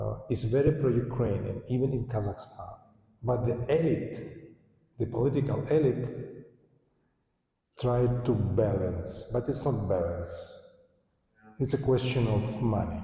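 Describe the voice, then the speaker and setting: A man at medium pitch with ordinary pitch variation, at a fairly slow pace with long, frequent pauses, in audible room echo. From eastern Ukraine, Donbas. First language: Russian. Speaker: political journalist, panelist. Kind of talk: panel discussion. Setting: university panel with audience. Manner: halting, with frequent self-corrections.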